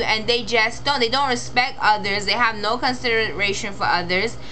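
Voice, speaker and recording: A woman speaks with a Caribbean accent at a fairly high pitch. Noticeable background noise and audible room echo are present. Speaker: vlogger. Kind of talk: personal vlog monologue. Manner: rambling, halting.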